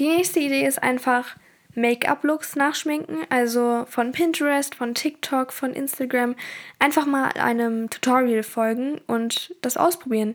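Her pace is fairly slow. The woman's voice is high. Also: ordinary pitch variation. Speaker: podcaster. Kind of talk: casual solo podcast monologue.

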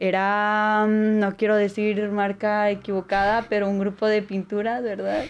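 A woman at a medium pitch and fairly slow pace against a quiet background. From Apodaca, Nuevo León, northern Mexico. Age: 20s. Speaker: international relations student. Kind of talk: casual interview.

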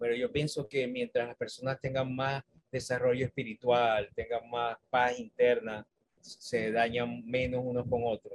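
A man speaks at a fairly slow pace in a monotone, flat intonation. The sound is dry and close with no echo. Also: medium pitch for a man. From Venezuela, Maracaibo. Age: 50s. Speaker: university staff member and author. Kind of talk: interview.

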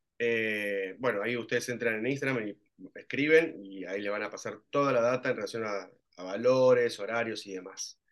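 A man speaks at a moderate pace. His pitch sits in the middle range, with ordinary variation. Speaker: actor and acting teacher. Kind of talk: casual interview. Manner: halting.

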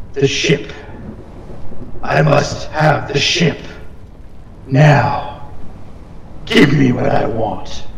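A man puts on a character voice with a fairly high pitch at a very slow pace. Long, frequent pauses break his speech, and a clear echo is present.

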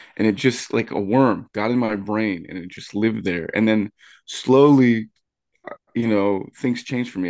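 Man with an unremarkable speaking voice, fairly low pitch, ordinary pitch variation and moderate pace. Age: 30s. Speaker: wrestling commentator. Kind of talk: casual chat.

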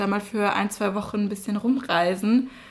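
With an Austrian accent, a woman speaks in a fairly high, somewhat breathy voice with fairly even intonation. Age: 20s. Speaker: university student, podcast co-host. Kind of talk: casual chat.

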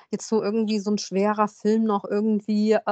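A woman speaks at a medium pitch and a moderate pace in a monotone, flat way. The sound is dry and close, with no echo. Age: 40s. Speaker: podcast host. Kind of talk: casual chat.

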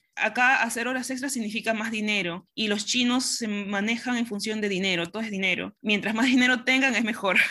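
The delivery comes at a moderate pace with fairly even intonation. It is an unremarkable speaking voice. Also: woman. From Peru, Pisco. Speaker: operations director, industrial engineer. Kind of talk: interview.

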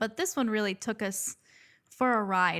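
Her voice sits at a medium pitch with a bright, sharp tone, and the woman's pitch varies in an ordinary way. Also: very clean recording, silent background. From Dominican family, US. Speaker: nurse, podcast co-host. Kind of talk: casual chat.

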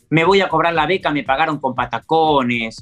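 Male voice with music in the background. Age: 40s. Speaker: amateur runner. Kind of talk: interview. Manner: halting.

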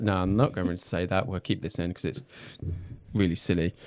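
The recording of this man is very clean, with complete silence behind him. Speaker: video production company owner. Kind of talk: casual chat. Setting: studio.

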